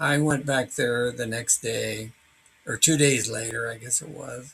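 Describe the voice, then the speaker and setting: A man speaks at a very slow pace. His pitch is medium and his intonation fairly even. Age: 80s+. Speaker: hiker recounting a wildlife encounter. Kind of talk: personal narration. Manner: halting, with many fillers.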